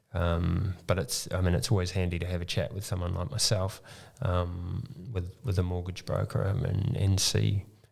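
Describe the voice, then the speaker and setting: Very deep and low, a man's somewhat breathy voice carries a New Zealand accent and ordinary pitch variation. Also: moderate pace. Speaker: mortgage broker. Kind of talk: podcast interview. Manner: halting, many ums.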